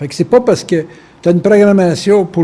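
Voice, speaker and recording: A man speaks very fast with a Quebec accent. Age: 60s. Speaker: spiritual lecturer. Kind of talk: lecture. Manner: casual, conversational.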